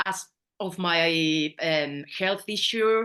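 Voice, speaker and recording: In a Spanish accent, a woman speaks with an animated, bright and sharp tone and ordinary pitch variation over a quiet background. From Spain. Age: 50s. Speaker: astrology student. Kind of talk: interview.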